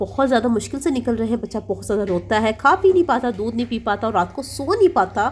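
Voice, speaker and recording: Vocal fry with lively intonation at a moderate pace. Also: woman. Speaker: parenting vlogger. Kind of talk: product review vlog.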